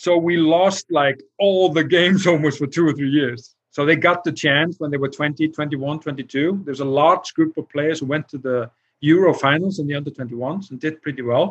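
In an Icelandic accent, a man with a fairly high pitch speaks with fairly even intonation. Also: moderate pace. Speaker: football technical director. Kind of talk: interview. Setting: livestream video call.

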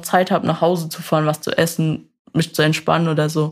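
Here a woman has an unremarkable speaking voice with a fairly low pitch. She talks at a moderate pace. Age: 20s. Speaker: vehicle mechatronics technician. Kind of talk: interview.

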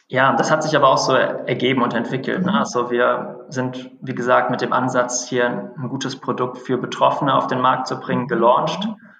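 A man at medium pitch speaks at a moderate pace with ordinary pitch variation and hardly any pauses, with noticeable background noise behind him. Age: 30s. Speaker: startup founder and CEO. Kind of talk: interview. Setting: phone call.

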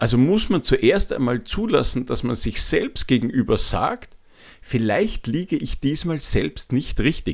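The speech comes at a fairly slow pace in a very clean recording with a silent background. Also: man. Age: 40s. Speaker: podcast host, change and habits coach. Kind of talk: solo podcast monologue. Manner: frequent filler hesitations.

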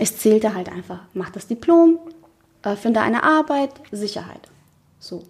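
A woman's fairly high voice with very wide pitch swings, big swings in loudness, and long, frequent pauses. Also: moderate pace. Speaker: podcast co-host, founder. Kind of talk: casual chat.

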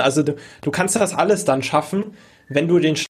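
A man's normal speaking voice, fairly high in pitch, in a very clean recording with a silent background. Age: 20s. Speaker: online course entrepreneur and podcast host. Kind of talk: casual interview chat.

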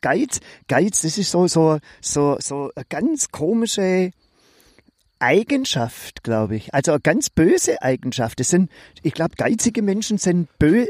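A man with a high-pitched voice speaks very slowly, his pitch swinging very widely. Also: dry, close sound with no echo. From Swabia. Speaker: podcast co-host. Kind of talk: casual chat.

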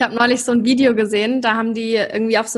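A woman's fairly high voice at a very fast pace. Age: 20s. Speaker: podcast host. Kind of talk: casual chat. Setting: video call.

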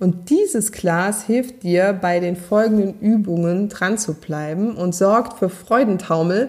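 Speaking at a very slow pace, a woman with a slight Saarland accent uses a medium pitch and ordinary pitch variation. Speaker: podcast host, self-confidence coach. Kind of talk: solo podcast monologue, coaching advice. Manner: warm, conversational.

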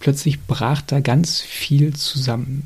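This man's voice sits fairly high and sounds somewhat breathy. His intonation is monotone and flat. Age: 30s. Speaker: podcast host, chronic illness patient. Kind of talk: solo monologue. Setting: home recording at laptop.

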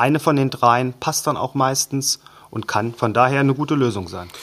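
A man's medium-pitched voice with ordinary pitch variation, a normal speaking voice, on a very clean recording with a silent background. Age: 30s. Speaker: bank wealth management head. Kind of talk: interview explanation.

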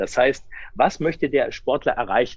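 The intonation is lively. The pace is fairly slow. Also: man. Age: 40s. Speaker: sports scientist and coach. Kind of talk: interview.

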